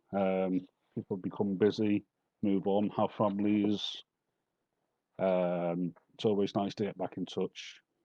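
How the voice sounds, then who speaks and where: In a Liverpool accent, a man delivers monotone, flat intonation at a fairly low pitch with a dark, mellow tone, long, frequent pauses, and a dry, close sound with no echo. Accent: Liverpool (Scouse). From Merseyside, England. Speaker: poet. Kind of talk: introducing poems at a live reading.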